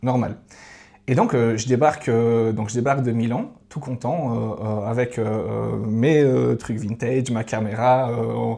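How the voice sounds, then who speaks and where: A dark, mellow tone at a very slow pace with fairly even intonation. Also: man, medium pitch for a man. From Switzerland, Valais. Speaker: podcast guest, traveller. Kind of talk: casual interview conversation. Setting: podcast studio with cameras. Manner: hesitant, many fillers.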